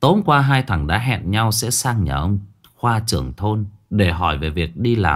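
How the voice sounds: Lively intonation in a natural reading voice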